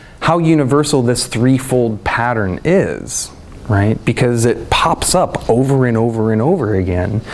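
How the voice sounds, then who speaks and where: A man speaks at medium pitch with ordinary pitch variation. Noticeable background noise is present. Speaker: herbalist teacher. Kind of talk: lecture. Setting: conference stage with audience. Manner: animated.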